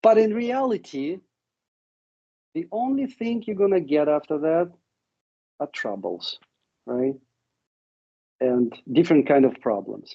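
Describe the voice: Slowly and with long, frequent pauses, a man with a fairly high, dark and mellow voice speaks with vocal fry and lively intonation.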